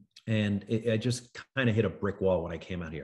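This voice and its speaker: A man with an American accent, fairly low in pitch, at a moderate pace against a quiet background. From New York City. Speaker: actor. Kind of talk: interview. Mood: thoughtful, warm. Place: home room. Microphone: video call.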